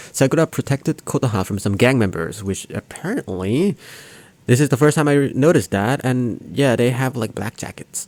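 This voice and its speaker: Fairly quick and lively in intonation, a man speaks at medium pitch with a non-native accent. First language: not English. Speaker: anime reaction youtuber. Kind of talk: video commentary and analysis. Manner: halting, many fillers.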